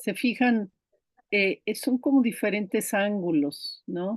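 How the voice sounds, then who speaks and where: A woman talks at a very slow pace in an Icelandic accent, with lively intonation. The sound is dry and close with no echo, over a quiet background. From Brazil. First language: Icelandic (speaking Spanish). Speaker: diploma course instructor. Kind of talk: online class lecture.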